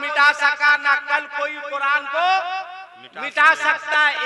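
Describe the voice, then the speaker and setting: Noticeable background noise sits behind a man's raised, projected voice. His pitch is extremely high. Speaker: Islamic preacher. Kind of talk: religious sermon at a public gathering. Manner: humorous, rousing.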